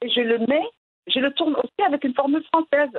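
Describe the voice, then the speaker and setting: A woman with a Moroccan accent speaks at a moderate pace in a high pitch, her intonation lively. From Morocco. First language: Moroccan Arabic (speaking French). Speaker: storyteller and writer. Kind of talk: interview. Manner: halting.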